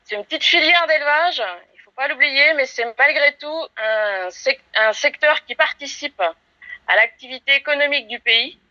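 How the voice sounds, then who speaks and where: A woman with a high-pitched voice speaks at a moderate pace, her intonation lively and her loudness swinging widely. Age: 40s. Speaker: rabbit farmer and industry association president. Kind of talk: prepared statement to camera. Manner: hesitant, frequent filler sounds.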